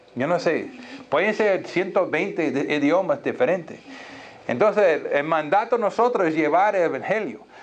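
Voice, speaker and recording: A man talks at a moderate pace with a high pitch and lively intonation, his loudness very even. Audible room echo surrounds the voice. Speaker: pastor. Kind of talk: sermon. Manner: halting.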